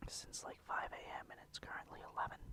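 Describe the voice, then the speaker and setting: Someone is whispering at a fairly quick pace. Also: man. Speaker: ASMR creator. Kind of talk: ASMR casual talk. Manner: whispered.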